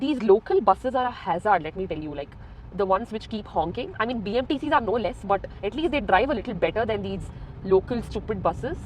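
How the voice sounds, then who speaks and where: A woman's very fast, lively speech in a Goan accent, fairly high in pitch, against noticeable background noise. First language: Konkani. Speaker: vlogger. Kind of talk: casual vlog talk while driving. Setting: in a car.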